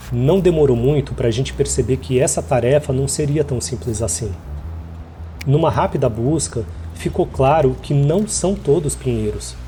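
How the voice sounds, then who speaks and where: A man speaks at a moderate pace with a Brazilian accent. Music plays in the background. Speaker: immigrant video essayist. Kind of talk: scripted narration.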